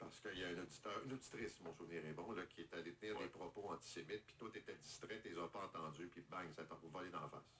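At a very fast pace and with hardly any pauses, a man talks in a very deep, low pitch with a bright, sharp tone. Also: ordinary pitch variation. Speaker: morning radio host. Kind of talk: radio interview.

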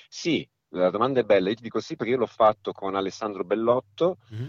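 Here a man speaks at a very fast pace with lively intonation. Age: 50s. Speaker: illusionist and cabaret performer. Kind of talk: casual interview.

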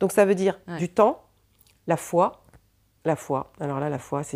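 A woman talks at a fairly slow pace with ordinary pitch variation. The recording is very clean, the background silent. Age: 50s. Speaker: psychic. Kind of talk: casual chat.

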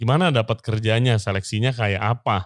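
A man with an Indonesian accent on a very clean recording with a silent background. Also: dry, close sound with no echo. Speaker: podcast host. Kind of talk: casual interview chat, Indonesian-English code-switching; show intro and outro.

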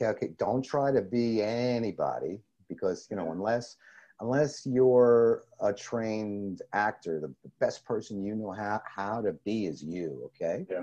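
Here a man with an American accent talks at a moderate pace in a medium pitch. His tone is dark and mellow, with ordinary pitch variation. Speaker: video producer, former news photojournalist. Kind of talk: interview. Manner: stuttering, halting, repeats words.

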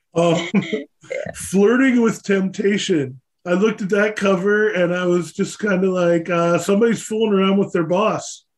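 Speaking with an American accent, a man keeps a high pitch and fairly even intonation at a moderate pace. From Pennsylvania. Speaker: podcast host. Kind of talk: casual interview. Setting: studio.

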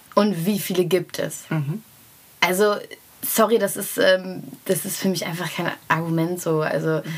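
Medium in pitch, a woman speaks with fairly even intonation. Her pace is fairly slow. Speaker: rapper and singer. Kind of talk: interview.

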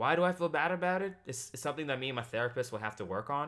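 A man talks with very wide pitch swings on a very clean recording with a silent background. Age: 20s. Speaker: YouTuber and podcaster. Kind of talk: casual monologue. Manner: animated.

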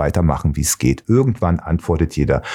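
The recording is very clean and the background silent. A man talks in a dark, mellow tone. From Baden-Baden, southwest Germany (born in Leipzig). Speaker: DJ and music producer. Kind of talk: casual interview. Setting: studio.

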